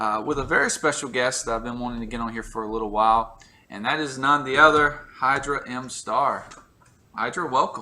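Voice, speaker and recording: A man with a Southern US accent, medium pitch and a bright, sharp tone, fairly quick and fairly even in intonation. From US South. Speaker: YouTube interview host. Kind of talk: casual interview.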